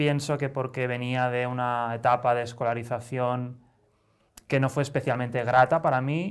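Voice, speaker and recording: Recorded very cleanly with a silent background, a man in a normal speaking voice talks at a moderate pace and medium pitch with fairly even intonation. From Spain, Barcelona. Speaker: satirical newspaper director, writer. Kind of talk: interview.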